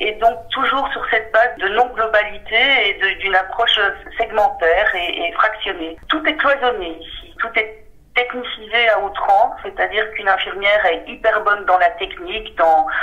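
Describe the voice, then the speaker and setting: A woman with a Belgian accent speaks at a fairly high pitch with lively intonation over noticeable background noise. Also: moderate pace. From Belgium. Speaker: senior healthcare manager. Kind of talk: interview testimony. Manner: hesitant, many fillers.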